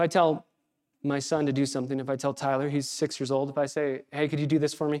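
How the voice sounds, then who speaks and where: A man talks at a very fast pace. His fairly high pitch stays monotone, with flat intonation. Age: 30s. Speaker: pastor. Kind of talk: sermon. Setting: church.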